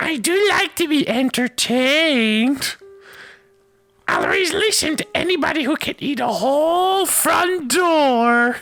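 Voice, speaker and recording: Faint music plays behind a female-sounding, put-on character voice that is high-pitched and fairly slow. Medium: read story. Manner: offhand, teasing.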